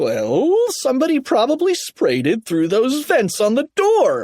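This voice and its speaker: A man puts on a loud character voice at an extremely high pitch. He speaks at a fairly slow pace in a very clean recording with a silent background. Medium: read story. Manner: loud, blustering.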